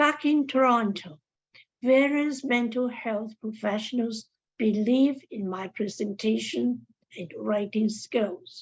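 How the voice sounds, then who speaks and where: Speaking at a very slow pace, a woman has a fairly high, somewhat breathy voice. Her pitch varies in an ordinary way. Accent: non-native. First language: not English. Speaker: mental health advocate. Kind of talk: seminar talk.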